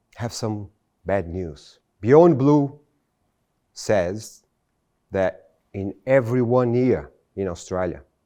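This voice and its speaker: A man's fairly low, dark, mellow voice in a Brazilian Portuguese accent, very slow with long, frequent pauses and lively intonation, against a quiet background. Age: 40s. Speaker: motivational speaker. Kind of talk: motivational speech. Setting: stage with audience.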